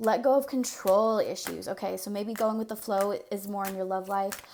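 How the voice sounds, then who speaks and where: The woman's intonation stays fairly even. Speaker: tarot reader. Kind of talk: casual tarot reading to camera. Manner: fast; casual, many fillers.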